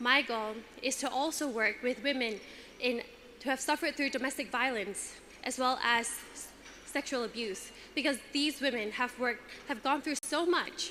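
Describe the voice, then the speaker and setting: A woman speaks in a raised, projected voice with a high pitch, at a moderate pace with ordinary pitch variation. Music plays in the background, and she leaves long, frequent pauses. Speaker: pageant contestant. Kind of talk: prepared speech.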